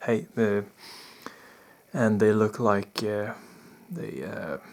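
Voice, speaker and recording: A soft-spoken man's fairly low voice, very slow with lively intonation. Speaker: spiritual experiencer / vlogger. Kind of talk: personal testimony. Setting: indoors in bedroom at night. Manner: soft-spoken, talking low; halting, many fillers.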